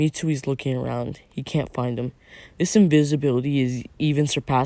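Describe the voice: The intonation is fairly even. The delivery is plain reading aloud.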